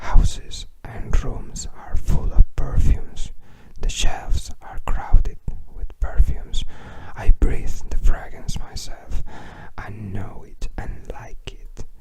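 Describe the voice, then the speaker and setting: Whispering at a very slow pace, a man swings widely in loudness over noticeable background noise. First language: Spanish. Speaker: ASMR creator. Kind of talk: reading aloud. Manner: halting.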